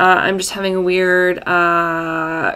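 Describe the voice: Slow and with little pitch movement, a woman speaks at a fairly low pitch in a croaky voice whose tone is at once bright, sharp, clear and smooth.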